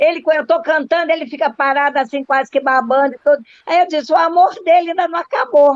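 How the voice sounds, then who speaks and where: Speaking at a very fast pace with hardly any pauses, a woman uses an animated tone at a high pitch with ordinary pitch variation. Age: 80s+. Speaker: Rotary club member, retired teacher. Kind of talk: casual discussion in virtual meeting. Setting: video call.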